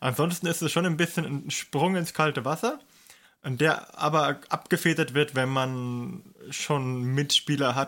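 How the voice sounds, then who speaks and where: Speech at a moderate pace has a bright, sharp tone and ordinary pitch variation. The recording is very clean, with a silent background. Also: man. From southern Germany. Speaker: podcast co-host. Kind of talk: casual chat.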